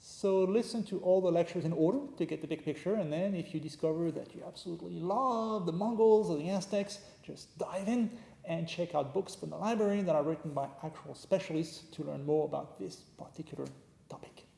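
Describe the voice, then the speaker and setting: A man with a French accent speaks at a fairly quick pace and a high pitch. His pitch varies in an ordinary way, and noticeable background noise sits behind him. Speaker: history professor. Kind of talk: lecture. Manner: casual, joking.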